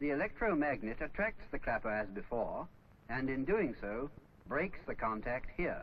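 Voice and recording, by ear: A man speaks at medium pitch and a moderate pace, with big pitch swings. Audible room echo surrounds the voice.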